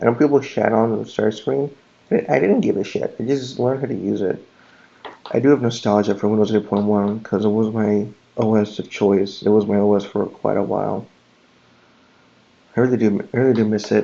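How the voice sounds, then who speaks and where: The quiet voice moves at a fairly quick pace with fairly even intonation, yet leaves long, frequent pauses. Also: man, fairly low pitch for a man. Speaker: tech YouTuber. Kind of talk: casual screen-recording commentary. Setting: at home late at night. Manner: talking quietly.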